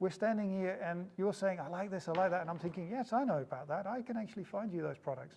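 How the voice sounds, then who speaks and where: Talking at a very fast pace with hardly any pauses, a man with a slight New Zealand accent has a high pitch and ordinary pitch variation. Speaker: startup founder. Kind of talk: interview. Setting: office.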